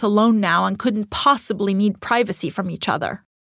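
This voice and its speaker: A woman with an Iranian accent. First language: Farsi. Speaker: author reading her own essay. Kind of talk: reading aloud personal essay.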